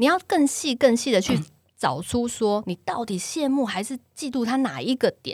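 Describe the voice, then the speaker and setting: A woman speaks at a moderate pace with a high pitch and lively intonation. The sound is dry and close with no echo. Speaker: podcast host and social media influencer. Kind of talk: casual chat.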